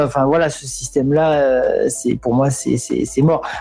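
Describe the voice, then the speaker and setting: A very slow pace against noticeable background noise. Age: 40s. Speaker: craftsman, livestream viewer joining the chat. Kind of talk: casual chat.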